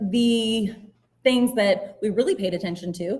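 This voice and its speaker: A woman with a rural Appalachian Virginia accent, somewhat breathy and medium in pitch, at a fairly slow pace with fairly even intonation. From southwest Virginia (Giles County). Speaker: special education teacher and neuroeducation coach. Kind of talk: educational presentation. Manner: casual, uses fillers like um.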